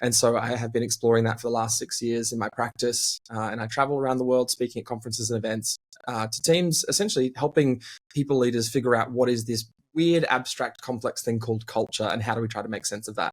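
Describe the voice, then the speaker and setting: A man with an Australian accent speaks at a very fast pace in a medium pitch, keeping his intonation fairly even. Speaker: team culture consultant and speaker. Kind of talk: interview conversation.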